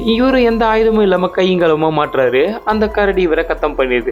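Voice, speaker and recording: High-pitched man with lively intonation over music in the background. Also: very even loudness. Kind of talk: movie recap narration.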